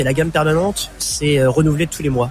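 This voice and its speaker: A man talks at a very fast pace with a fairly high pitch and fairly even intonation over noticeable background noise. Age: 30s. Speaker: craft brewer. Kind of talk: radio interview. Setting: live broadcast from a food fair.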